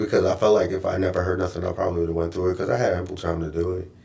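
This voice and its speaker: A man with an American accent talks at a very fast pace in a very deep, low pitch. His dark, mellow tone is somewhat breathy, with monotone, flat intonation. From New York. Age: 30s. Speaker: corporate trainer and actor. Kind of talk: casual chat.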